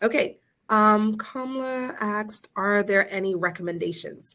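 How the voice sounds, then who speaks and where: A woman with a plain, everyday voice speaks at medium pitch with ordinary pitch variation. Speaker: family therapist and presenter. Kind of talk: webinar presentation. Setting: virtual session.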